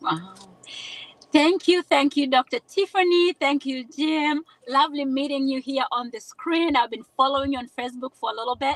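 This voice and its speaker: This woman speaks with a Kenyan accent in a high voice. The sound is dry and close, with no echo. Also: ordinary pitch variation, moderate pace. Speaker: nurse giving testimonial. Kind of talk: testimony. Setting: video call from a car. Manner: animated.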